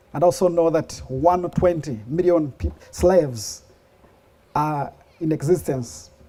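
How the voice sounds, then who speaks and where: A man with a Ugandan accent speaks very slowly, using a fairly high pitch. His tone is dark and mellow, with ordinary pitch variation. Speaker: speaker sharing life story. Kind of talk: testimony.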